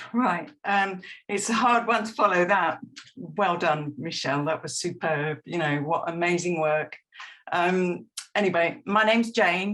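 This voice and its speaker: A woman with a normal speaking voice, fairly low-pitched, at a fairly slow pace. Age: 60s. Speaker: retired comics artist. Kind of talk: presentation. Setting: video call.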